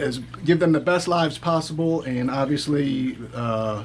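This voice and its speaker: Amid audible room echo and noticeable background noise, a man with a fairly high pitch speaks at a moderate pace with ordinary pitch variation. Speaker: reptile keeper giving a tour. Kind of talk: casual video tour. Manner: hesitant, many fillers.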